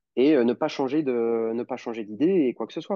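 A man speaks at medium pitch with a dark, mellow tone and a moderate pace. The sound is dry and close, with no echo and a quiet background. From France (Normandy / Lyon). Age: 20s. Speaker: osteopath. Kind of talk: casual interview.

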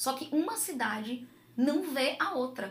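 A woman's high-pitched voice, fairly slow, with lively intonation and audible room echo. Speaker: mother, gamer and game event organizer. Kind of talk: casual chat. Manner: talkative.

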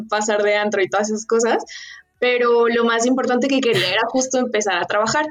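Speaking fairly quickly in a plain, everyday voice, a woman keeps her loudness very even at a fairly high pitch. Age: 20s. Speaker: nutrition consultant and entrepreneur. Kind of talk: interview.

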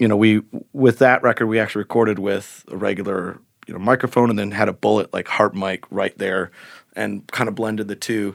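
Over a very clean recording with a silent background and a dry, close sound with no echo, a man talks at a fairly quick pace in a fairly low voice with vocal fry and fairly even intonation. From northern Michigan (Rose City). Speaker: singer-songwriter. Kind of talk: casual interview. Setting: studio. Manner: halting, many fillers.

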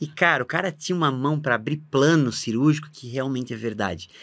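A man talks at a fairly quick pace. The recording is very clean with a silent background. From Santa Catarina, southern Brazil (Blumenau). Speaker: vascular surgeon. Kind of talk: casual interview.

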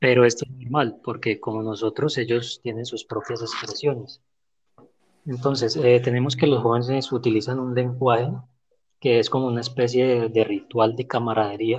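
Somewhat breathy and monotone, a man speaks at a moderate pace with a medium pitch. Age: 30s. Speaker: podcast guest. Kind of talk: prepared talk in discussion.

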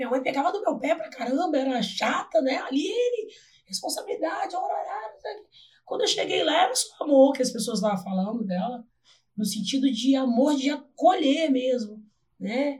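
A woman speaks at a moderate pace in a high pitch. Her pitch swings very widely, and her loudness rises and falls in big swings. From Brazil, Volta Redonda (Rio de Janeiro state). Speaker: physical education teacher. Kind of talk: casual interview chat.

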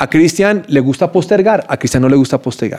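A man's fairly high voice with a dark, mellow tone, very wide pitch swings and a very fast pace. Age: 50s. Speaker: time management teacher. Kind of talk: interview.

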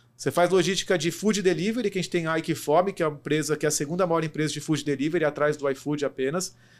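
A man with a fairly high voice talks at a very fast pace. His pitch variation is ordinary, and the recording is very clean with a silent background. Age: 30s. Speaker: logistics executive. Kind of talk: interview.

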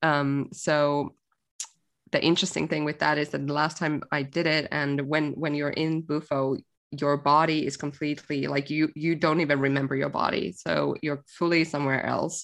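In a Finnish accent, a woman speaks with a very deep, low pitch and monotone, flat intonation at a moderate pace against a quiet background. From Finland. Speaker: music industry marketer and coach. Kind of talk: podcast interview. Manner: casual, hesitant with fillers.

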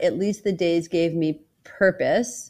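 A woman at a very slow pace, against a quiet background. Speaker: mother of a co-host, interviewed. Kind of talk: casual interview. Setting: remote recording.

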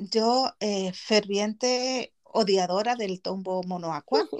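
A woman talks at a very slow pace. Her voice sits at a medium pitch, with fairly even intonation. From Gran Canaria, Spain (born in Chile, moved at six). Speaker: podcast host. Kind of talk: casual chat.

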